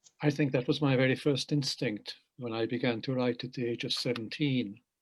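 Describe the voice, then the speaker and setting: A man with a Hungarian accent speaks at a fairly quick pace. His medium pitch stays fairly even in intonation. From Hungary, raised in England from age eight. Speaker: poet and translator. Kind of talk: panel interview. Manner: measured, reflective.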